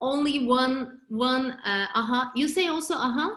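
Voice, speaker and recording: Speaking at a very slow pace, a woman uses a high pitch with ordinary pitch variation. She has a Turkish accent. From Turkey. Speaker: real estate agent. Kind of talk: interview. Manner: halting, many fillers.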